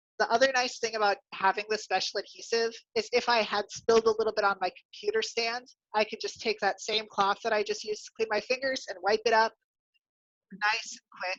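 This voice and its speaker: A woman with an American accent speaks at a fairly quick pace, her fairly high pitch held in a monotone, flat intonation. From US Midwest, Iowa. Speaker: drag king, makeup artist. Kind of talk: makeup tutorial. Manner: relaxed, instructive.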